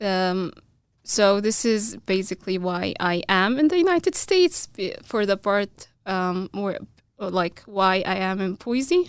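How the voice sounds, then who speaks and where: In an Arabic accent, a woman speaks at a fairly slow pace with medium pitch. The recording is very clean, with a silent background. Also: ordinary pitch variation. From Egypt, small town. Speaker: graduate student. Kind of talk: interview. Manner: halting.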